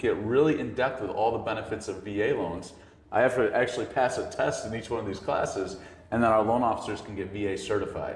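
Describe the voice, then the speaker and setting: With audible room echo and noticeable background noise, a man talks at a fairly quick pace and medium pitch with ordinary pitch variation. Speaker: loan officer. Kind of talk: casual interview. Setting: in person at a real estate office. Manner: stuttering at times.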